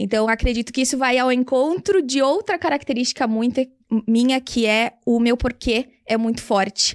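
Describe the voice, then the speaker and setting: Speaking at a moderate pace with ordinary pitch variation, a woman with a high pitch is heard in a dry, close recording with no echo. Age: 30s. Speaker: English teacher and entrepreneur. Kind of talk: interview.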